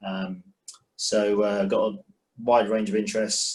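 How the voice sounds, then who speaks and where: It's a man with a London accent. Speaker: investor. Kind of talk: panel introduction.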